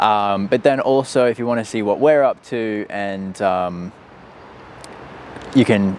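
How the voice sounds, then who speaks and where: Very slowly, a man speaks in an Australian accent at a fairly low pitch. His pitch varies in an ordinary way over noticeable background noise. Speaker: startup co-founder. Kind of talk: casual chat. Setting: outdoors.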